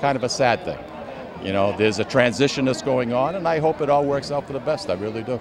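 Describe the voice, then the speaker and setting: Over noticeable background noise, a man with a Boston accent talks at a fairly quick pace. His voice sits at medium pitch, with lively intonation. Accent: Boston-area New England. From Lawrence, Massachusetts. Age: 60s. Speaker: festival organizer and radio co-host. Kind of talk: interview. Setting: outdoors at a street festival.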